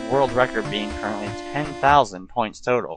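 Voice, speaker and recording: A man speaks rather briskly with music playing in the background. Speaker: video game reviewer. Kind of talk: gameplay commentary. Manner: casual.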